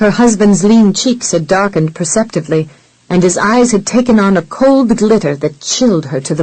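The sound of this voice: Reading in an unforced voice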